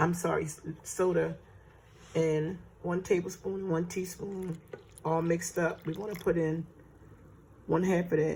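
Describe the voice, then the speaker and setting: Somewhat breathy, a woman speaks at a fairly slow pace and fairly low pitch with monotone, flat intonation and long, frequent pauses. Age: 60s. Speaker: home baker teaching cooking. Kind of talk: tutorial. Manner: casual, conversational.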